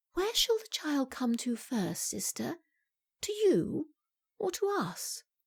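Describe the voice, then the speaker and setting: On a very clean recording with a silent background, a woman with an RP accent speaks at a moderate pace with very wide pitch swings. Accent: RP British English. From England. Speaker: audiobook narrator. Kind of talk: audiobook narration.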